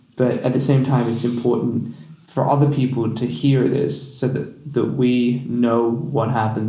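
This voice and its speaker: At a moderate pace, a man speaks with a medium pitch and fairly even intonation over noticeable background noise. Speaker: podcast host. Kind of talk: interview. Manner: halting, repeats words.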